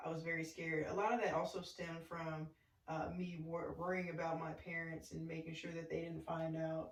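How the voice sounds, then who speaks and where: Her voice is fairly low-pitched, and the woman talks fairly quickly with a monotone, flat intonation. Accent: Arkansas. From US South, small-town Arkansas. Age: 30s. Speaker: podcast guest, former college basketball player. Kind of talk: casual chat.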